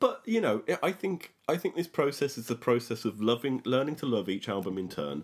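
On a very clean recording with a silent background, a man with an ordinary speaking voice talks at a moderate pace and medium pitch, with lively intonation. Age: middle-aged. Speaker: music podcast host, superfan. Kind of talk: casual chat.

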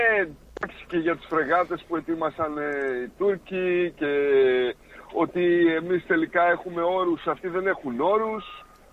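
A high-pitched man talks at a fairly slow pace with fairly even intonation. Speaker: caller. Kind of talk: casual chat.

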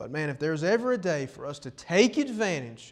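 A plain, everyday voice at a moderate pace. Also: man. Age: 20s. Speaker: preacher. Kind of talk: sermon. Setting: church.

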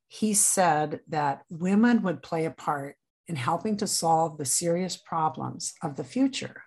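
Speaking fairly slowly with lively intonation, a woman with an American accent and a fairly low pitch has a plain, everyday voice against a quiet background. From Nebraska. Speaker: author and book club founder. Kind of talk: interview.

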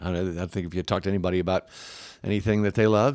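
This man has a Tennessee accent. His pitch is very deep and low. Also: very clean recording, silent background. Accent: Southern US (Tennessee). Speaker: city mayor. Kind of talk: casual chat.

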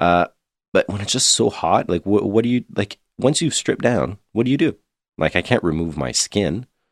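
A man with a Canadian accent speaks at a fairly low pitch and a moderate pace, with vocal fry. His pitch swings very widely, and the sound is dry and close with no echo. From Ontario/Quebec, Canada. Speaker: podcast co-host. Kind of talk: casual chat.

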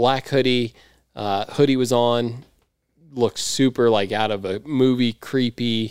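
In an American accent, a man with an unremarkable speaking voice talks at a fairly slow pace and medium pitch with fairly even intonation, in a very clean recording with a silent background and a dry, close sound with no echo. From California, grew up near L.A. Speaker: freestyle motocross rider. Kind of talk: casual chat.

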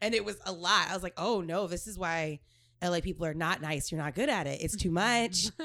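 Speaking fairly quickly with an American accent, a woman uses a fairly low pitch, ordinary pitch variation and a bright, sharp tone. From Texas. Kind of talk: casual chat. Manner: fast talker.

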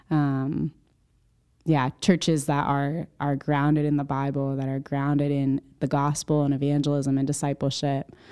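A woman with a Northeastern American accent speaks in a very deep, low voice with a dark, mellow tone, her intonation monotone and flat. She keeps a moderate pace on a very clean recording with a silent background. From US Northeast (central Connecticut). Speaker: missionary. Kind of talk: interview.

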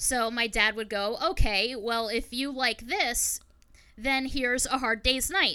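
A raised, projected voice with a bright, sharp tone and lively intonation. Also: woman. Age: 30s. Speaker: podcaster and YouTuber. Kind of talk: casual chat.

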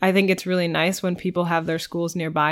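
On a very clean recording with a silent background, a woman talks at a fairly low pitch in a monotone, flat intonation. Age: late 20s. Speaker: pottery apprentice. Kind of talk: casual interview.

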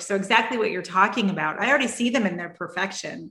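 Over noticeable background noise, a woman talks at a medium pitch with ordinary pitch variation. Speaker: podcast host. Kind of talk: casual interview chat.

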